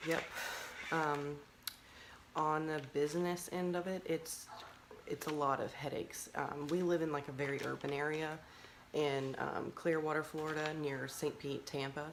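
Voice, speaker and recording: A soft-spoken woman with a very deep, low voice, monotone, flat intonation, a moderate pace and long, frequent pauses. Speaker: mushroom farmer. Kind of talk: casual chat.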